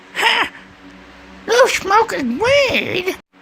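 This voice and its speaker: The voice is a put-on character voice. It is squeaky and extremely high in pitch. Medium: fan dub.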